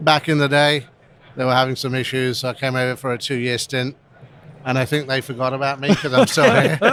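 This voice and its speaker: A man talks at a fairly quick pace. His pitch is medium and his intonation fairly even. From England. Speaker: restaurant brand executive. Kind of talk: casual interview. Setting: live event podcast booth.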